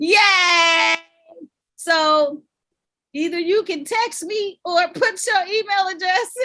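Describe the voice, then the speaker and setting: Speaking at a very slow pace, a woman projects a raised voice with lively intonation. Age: 50s. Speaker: sex coach. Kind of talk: online workshop hosting. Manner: animated.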